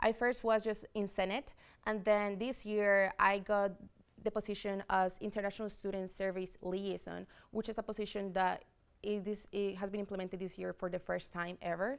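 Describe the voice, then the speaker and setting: A woman at a medium pitch with a slight Spanish accent, monotone, flat intonation and a moderate pace, on a very clean recording with a silent background. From Spain, Madrid. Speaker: student government president-elect. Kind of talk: interview.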